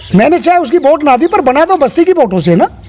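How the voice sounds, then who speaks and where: A man's pitch swings very widely. Noticeable background noise runs under his voice. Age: 60s. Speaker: local election candidate. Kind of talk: interview.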